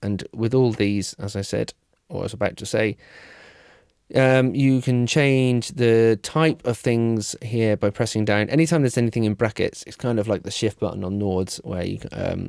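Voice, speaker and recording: On a very clean recording with a silent background, a man speaks at medium pitch with ordinary pitch variation, the sound dry and close with no echo. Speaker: keyboard player reviewing gear. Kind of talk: demo walkthrough tutorial. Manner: fast, with many fillers and self-corrections.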